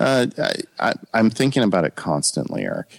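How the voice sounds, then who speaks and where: The voice has an American accent and vocal fry, moving at a fairly quick pace. The sound is dry and close, with no echo. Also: man. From US West Coast, Ontario California. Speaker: lawyer and tech podcaster. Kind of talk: interview.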